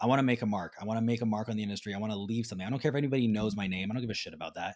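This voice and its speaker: A man at a fairly low pitch and very fast pace, fairly even intonation, on a very clean recording with a silent background. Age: 30s. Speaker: nutrition business owner. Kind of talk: casual chat.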